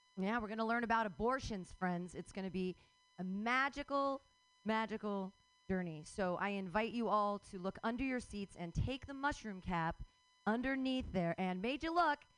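A woman speaks at a moderate pace with an animated tone, a medium pitch and lively intonation. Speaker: comedy open mic host. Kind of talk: comedy emcee banter. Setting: stage with audience.

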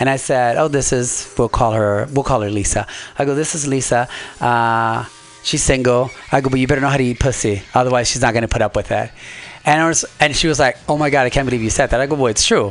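Very fast delivery with fairly even intonation over noticeable background noise. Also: man, medium pitch for a man. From Nicaragua, raised later in Los Angeles. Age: 40s. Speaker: amateur stand-up comedian. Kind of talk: casual interview chat. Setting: radio studio.

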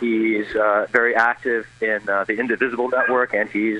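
A man talks at a fairly low pitch. Noticeable background noise runs under his voice. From United States (immigrated at age two). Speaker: lawyer and activist. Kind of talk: radio interview. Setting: phone call from the street.

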